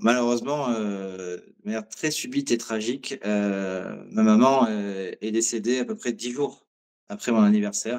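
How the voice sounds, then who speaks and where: A man's fairly low voice, very slow, with fairly even intonation. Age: 40s. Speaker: watch collector. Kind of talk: interview. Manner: hesitant, many fillers.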